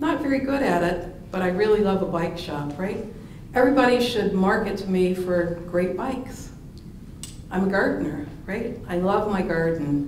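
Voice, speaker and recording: A woman's voice with lively intonation, audible room echo and noticeable background noise. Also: medium pitch for a woman, moderate pace. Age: 60s. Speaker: supply chain analyst and conference speaker. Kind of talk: conference keynote talk. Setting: stage at a conference.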